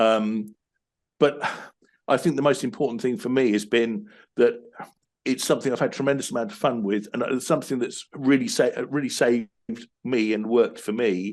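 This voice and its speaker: With a British accent, a man talks at medium pitch and a moderate pace, with ordinary pitch variation and long, frequent pauses. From UK. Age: 50s. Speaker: business coach. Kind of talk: interview. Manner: halting, many repetitions.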